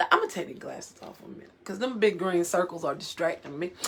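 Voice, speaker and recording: Very fast woman's voice with lively intonation, an animated tone and noticeable background noise. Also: big swings in loudness. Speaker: financial coach. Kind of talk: live stream talk. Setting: live video stream. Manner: loud.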